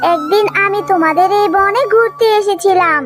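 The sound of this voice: A woman uses a cartoonish character voice at an extremely high pitch and a moderate pace. Clear music plays in the background.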